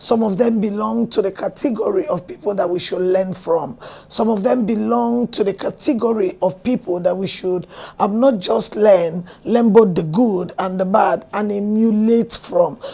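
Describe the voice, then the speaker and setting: Over noticeable background noise, a woman speaks at a moderate pace and a medium pitch, with ordinary pitch variation. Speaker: pastor and talk show host. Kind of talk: show introduction monologue. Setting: studio.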